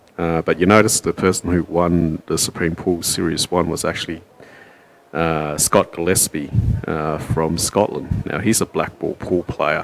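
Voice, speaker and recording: Speaking with an Australian accent, a man has a very deep, low pitch and fairly even intonation at a moderate pace. Noticeable background noise runs underneath. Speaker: pool commentator. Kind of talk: live commentary. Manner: loud.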